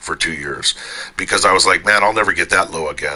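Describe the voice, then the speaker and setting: Noticeable background noise is heard. A man speaks over it. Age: 60s. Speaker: gamer. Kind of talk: casual talk in online game voice chat. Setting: online game voice chat. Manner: blunt, profane.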